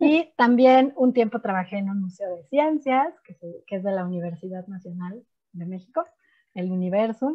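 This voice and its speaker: Speaking at a moderate pace, a woman has a medium pitch and lively intonation. Her loudness swings widely. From Mexico. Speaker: chemist and science teacher. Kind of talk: interview.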